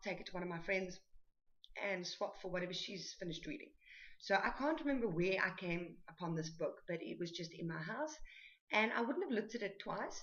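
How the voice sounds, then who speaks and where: Speaking at a fairly quick pace, a woman talks with a South African accent. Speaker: book vlogger. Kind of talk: book review. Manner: hesitant, many fillers.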